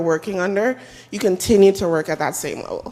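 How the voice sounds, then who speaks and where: A woman speaks at a medium pitch and a moderate pace, her pitch varying in an ordinary way. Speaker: audience member, team manager. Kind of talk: audience Q&A sharing. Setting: conference room with audience. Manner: loud.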